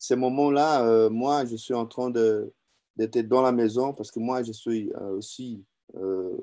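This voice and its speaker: A man with a non-native accent speaks at a very slow pace and a medium pitch, his intonation fairly even. His tone is dark and mellow, and the background is quiet. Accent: non-native French, says his French is weak. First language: Portuguese (speaking French). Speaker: business owner and distributor giving testimony. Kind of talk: testimony. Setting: online video event. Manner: halting, many hesitations and repetitions.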